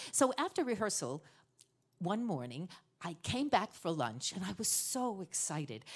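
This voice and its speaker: A woman with vocal fry speaks at a moderate pace. Her pitch swings very widely against a quiet background. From New York. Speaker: storyteller. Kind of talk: storytelling performance. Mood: emotional family history. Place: stage. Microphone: studio mic.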